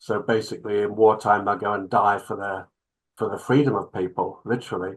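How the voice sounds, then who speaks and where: The man's speech moves along fairly quickly. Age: 60s. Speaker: clinical psychologist. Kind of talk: interview.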